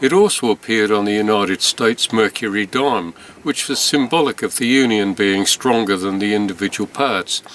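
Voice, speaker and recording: Speaking at a fairly quick pace, a man with an English accent uses lively intonation. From England. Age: 70s. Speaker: stamp collector. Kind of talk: storytelling narration. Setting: indoors, rainy night. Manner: conversational.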